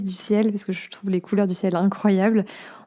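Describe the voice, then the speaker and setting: Against noticeable background noise, a woman speaks at medium pitch and a moderate pace in a monotone, flat intonation. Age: 20s. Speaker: podcast host. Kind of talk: personal monologue podcast. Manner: hesitant, many fillers.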